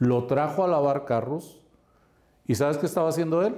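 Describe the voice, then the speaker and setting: A man's fairly high voice, dark and mellow in tone, with lively intonation. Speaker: real estate coach and investment adviser. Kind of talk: podcast interview. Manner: animated.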